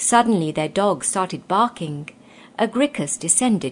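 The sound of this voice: Lively intonation colors this unforced reading voice.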